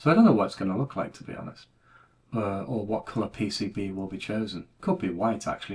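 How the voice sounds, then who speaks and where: With a British accent, a man speaks fairly quickly in a fairly low, somewhat breathy voice. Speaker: retro computing YouTuber. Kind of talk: casual monologue video. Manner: monotone.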